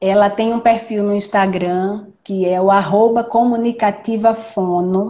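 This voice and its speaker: Here a woman speaks at a fairly high pitch. Her intonation is fairly even. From Recife, Brazil. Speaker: judge and live stream moderator. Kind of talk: live stream interview. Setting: online live stream. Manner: hesitant, repeats words.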